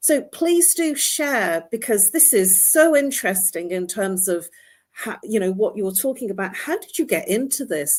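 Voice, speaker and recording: A somewhat breathy voice with very wide pitch swings at a moderate pace, on a very clean recording with a silent background. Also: woman, fairly high pitch for a woman. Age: 60s. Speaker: talk show host. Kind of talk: interview.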